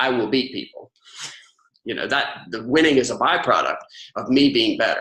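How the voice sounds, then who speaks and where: With a Southern US accent, a man speaks at a moderate pace. He leaves long, frequent pauses. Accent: Southern US twang. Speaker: author and ghostwriter. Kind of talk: interview.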